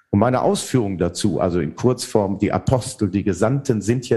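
A man speaks with a dark, mellow tone that is somewhat breathy. The background is quiet. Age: 50s. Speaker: theologian and author. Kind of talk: interview.

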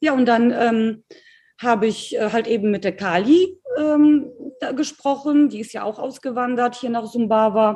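The voice has a dark, mellow tone and ordinary pitch variation, moving at a fairly slow pace. The background is quiet. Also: woman, fairly high pitch for a woman. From Poland, moved to Germany at nine. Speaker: entrepreneur, network marketer. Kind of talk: casual interview.

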